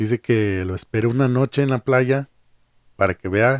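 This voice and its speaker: A man speaks at a fairly slow pace with a medium pitch and ordinary pitch variation, the sound dry and close with no echo. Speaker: podcast host. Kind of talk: casual chat.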